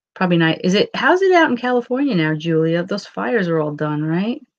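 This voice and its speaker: Her pitch medium but swinging very widely, a woman speaks at a moderate pace in a New York accent. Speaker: paranormal channel host. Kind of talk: casual live-stream chat.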